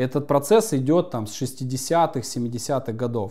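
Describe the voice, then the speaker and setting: A man's voice, dark and mellow in tone, comes through over a quiet background. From Yakutia, Russian Far East. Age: 30s. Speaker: spiritual coach. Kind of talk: interview. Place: home room.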